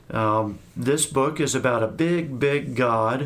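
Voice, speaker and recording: A man's ordinary speaking voice, medium in pitch, with ordinary pitch variation. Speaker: Baptist pastor and podcast co-host. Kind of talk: casual interview conversation.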